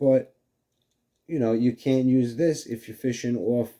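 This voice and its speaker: With a New York accent, a man talks at a moderate pace in a dark, mellow tone with ordinary pitch variation. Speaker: fishing video host. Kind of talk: casual tutorial. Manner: halting, many fillers.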